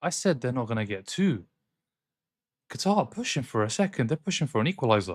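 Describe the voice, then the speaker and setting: In a very clean recording with a silent background, a man speaks at a very fast pace with long, frequent pauses. His medium-pitched voice makes very wide pitch swings. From Scotland. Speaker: football watchalong streamer. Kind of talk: live football watchalong commentary. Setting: live stream. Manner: soft-spoken, quieter than other streamers; animated.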